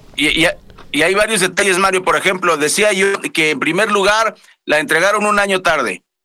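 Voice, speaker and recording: A man's high, raised and projected voice, very even in loudness, with a bright, sharp tone. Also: ordinary pitch variation, moderate pace. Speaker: radio news anchor. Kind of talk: news show chat.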